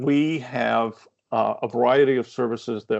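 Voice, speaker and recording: With a Maine accent, a man speaks with vocal fry and ordinary pitch variation. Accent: Maine accent, noticeable. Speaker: workforce development consultant. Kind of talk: webinar presentation. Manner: hesitant, many fillers.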